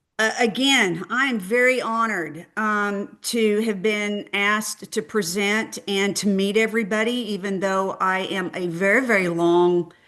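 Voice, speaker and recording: In a Texan accent, a woman speaks with a bright, sharp tone and a medium pitch. Her pace is fairly slow, with hardly any pauses and ordinary pitch variation. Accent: Texan twang. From Texas. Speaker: clinical research industry speaker. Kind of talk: webinar presentation. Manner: halting, many fillers.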